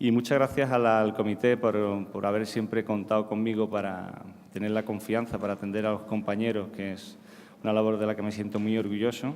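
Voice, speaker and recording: A man's fairly low voice at a fairly quick pace, in a monotone, flat intonation. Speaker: psychiatrist. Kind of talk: conference talk. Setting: stage with audience. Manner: halting, many repetitions.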